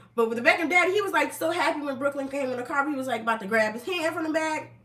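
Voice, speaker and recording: A woman with an American accent speaks very fast in a high-pitched, raised and projected voice with an animated tone, her words carrying audible room echo over noticeable background noise. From New Jersey, US. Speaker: online commentator. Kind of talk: casual live stream commentary.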